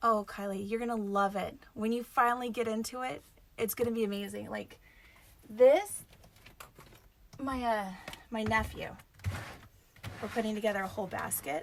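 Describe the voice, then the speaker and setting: A woman speaks in a fairly high pitch at a moderate pace, with fairly even intonation. She leaves long, frequent pauses. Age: middle-aged. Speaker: craft tutorial host. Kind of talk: live tutorial. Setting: live video stream.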